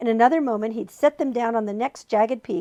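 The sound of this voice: With ordinary pitch variation, the speaker reads in an unforced voice.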